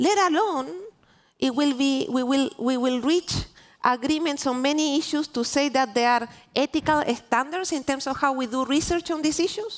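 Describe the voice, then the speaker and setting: With a Spanish accent, the speaker keeps a moderate pace and a very even loudness. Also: woman, high pitch for a woman, ordinary pitch variation. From Chile. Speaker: diplomat. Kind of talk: panel discussion. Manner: halting, many restarts.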